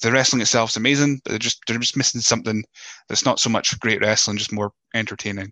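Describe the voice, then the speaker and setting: With a Scottish accent, a man at medium pitch talks at a very fast pace in a bright, sharp tone and fairly even intonation, the sound dry and close with no echo. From Scotland. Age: 30s. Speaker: podcast host. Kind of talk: casual interview chat. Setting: video call from home office. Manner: hesitant, repeats words.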